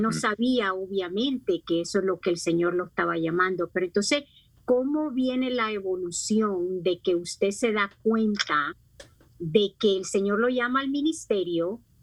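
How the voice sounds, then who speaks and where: A woman talks at a fairly slow pace with lively intonation. She has a plain, everyday voice at medium pitch. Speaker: co-host. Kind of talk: interview questions.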